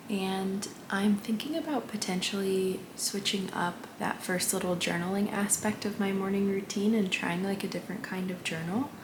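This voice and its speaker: Soft-spoken and medium-pitched, a woman talks at a moderate pace, with audible room echo and noticeable background noise. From Syrian family background. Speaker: vlogger and dancer-choreographer. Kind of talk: casual vlog talk. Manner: soft-spoken, quiet.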